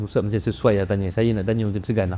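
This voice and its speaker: This man speaks with a dark, mellow tone at a fairly low pitch. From Melaka, Malaysia. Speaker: podcast host. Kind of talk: casual podcast chat.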